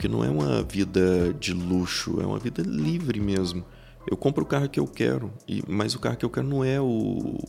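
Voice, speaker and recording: A man speaks at a moderate pace in a very deep, low voice, his pitch swinging very widely while his loudness stays very even. Music plays in the background. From Brazil, Goiás (Iporá). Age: 30s. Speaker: business executive. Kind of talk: podcast interview.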